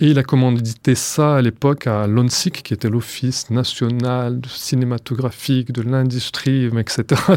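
A man speaks at a fairly slow pace with hardly any pauses, at medium pitch. His intonation is monotone and flat, on a very clean recording with a silent background. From France. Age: 30s. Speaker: archive researcher. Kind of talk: documentary interview.

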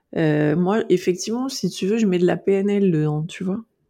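In a quiet background, a woman speaks with a dark, mellow tone at a medium pitch. Her pace is moderate and her pitch variation ordinary. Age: 40s. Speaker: naturopath specialized in eating disorders. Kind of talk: interview. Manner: outspoken, frank.

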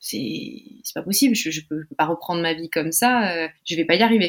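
A plain, everyday voice from a woman, moderate in pace, with ordinary pitch variation. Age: 20s. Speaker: psychology student with type 1 diabetes. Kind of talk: interview about personal health experience.

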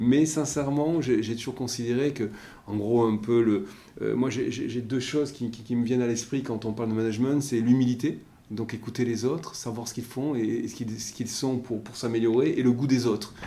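At a moderate pace, the speaker uses fairly even intonation in a dark, mellow tone. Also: man, medium pitch for a man. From French Basque Country. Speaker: maritime pilot. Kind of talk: interview. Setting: room overlooking the port.

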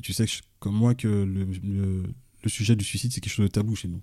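Somewhat breathy and fairly low-pitched, a man speaks at a very fast pace. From Mali, then France from age 15. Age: 40s. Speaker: police officer and author. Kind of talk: interview. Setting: at guest's home. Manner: hesitant, filler-heavy.

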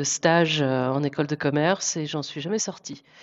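A woman with a very deep, low pitch, speaking at a fairly slow pace. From France, southern Brittany (Guérande area). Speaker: marketing executive. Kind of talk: interview. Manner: halting, many repetitions and fillers.

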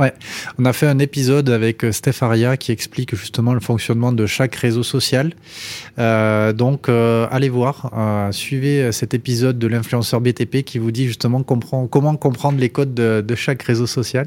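A man's monotone, flat-intoned delivery at a fairly slow pace. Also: medium pitch for a man. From Toulouse area, southwest France. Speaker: podcast host, startup co-founder. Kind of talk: interview.

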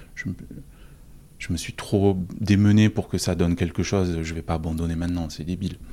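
Very deep and low, a man's voice has a dark, mellow tone and monotone, flat intonation, moving at a fairly quick pace broken by long, frequent pauses. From southern France. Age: 40s. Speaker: office manager sharing personal story. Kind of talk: personal testimony. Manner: halting, many repetitions and fillers.

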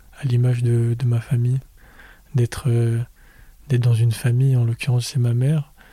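A man's medium-pitched, dark, mellow, somewhat breathy voice in a monotone, flat intonation, at very even loudness with long, frequent pauses, dry and close with no echo. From Paris suburbs, France. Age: 20s. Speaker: podcast guest. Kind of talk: interview. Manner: soft and slow; halting.

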